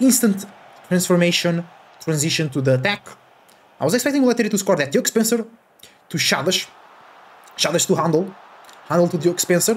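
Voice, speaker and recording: A man shouting in an excited tone at a fairly quick pace, with very wide pitch swings. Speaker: gaming YouTuber. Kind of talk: live sports commentary; casual gaming commentary. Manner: rapid-fire, excited play-by-play that erupts into loud shouting on goals. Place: home room.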